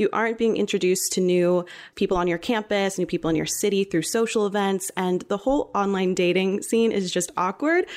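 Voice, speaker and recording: A woman with an unremarkable speaking voice talks at a medium pitch and a fairly quick pace, with hardly any pauses. Her loudness stays very even in a very clean recording with a silent background. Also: ordinary pitch variation. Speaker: student podcast host. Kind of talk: casual chat.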